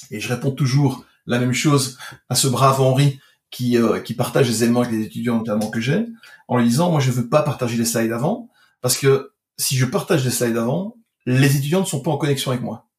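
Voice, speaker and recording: This man's voice is somewhat breathy. He speaks at a fairly quick pace. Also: medium pitch for a man, ordinary pitch variation. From Belgium. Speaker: digital marketing expert. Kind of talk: casual chat.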